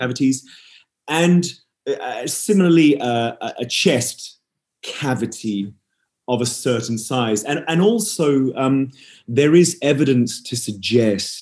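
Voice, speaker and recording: Lively in intonation, a man of medium pitch speaks at a very slow pace with long, frequent pauses. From Western Australia (Perth). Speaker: nutritionist and opera singer. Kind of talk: interview.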